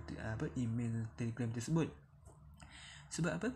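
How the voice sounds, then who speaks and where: A man speaks at a medium pitch in a dark, mellow tone. His voice is somewhat breathy, and his intonation is lively. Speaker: YouTuber giving app money tips. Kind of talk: tutorial. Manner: soft-spoken; halting.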